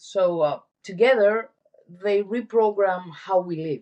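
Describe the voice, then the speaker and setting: A woman talks at a very slow pace. Her voice is medium in pitch with a dark, mellow tone. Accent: Greek. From Greece. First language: Greek. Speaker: wellness entrepreneur. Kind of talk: interview.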